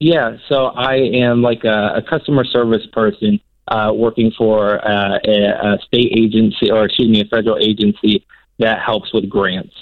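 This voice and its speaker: A man speaks at a moderate pace in a medium pitch. His loudness stays very even. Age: 30s. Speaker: caller. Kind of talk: casual chat. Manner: halting.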